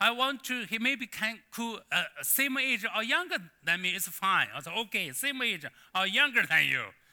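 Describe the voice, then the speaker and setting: A raised, projected voice in a Chinese accent, with lively intonation and a fairly slow pace. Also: man. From China. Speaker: pastor. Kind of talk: sermon. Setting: church. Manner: halting.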